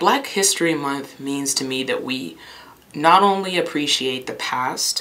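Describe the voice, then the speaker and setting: A woman with an American accent speaks in a very deep, low voice, and the room echo is audible. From western Pennsylvania, US. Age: young. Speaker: academic counselor. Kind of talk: interview testimony.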